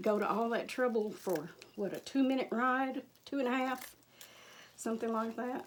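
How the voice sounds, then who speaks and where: A woman speaks with a fairly high pitch. Long, frequent pauses break up her speech. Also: ordinary pitch variation, moderate pace. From Michigan until 15, then Kentucky. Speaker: crafter. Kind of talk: tutorial. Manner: casual, chatty.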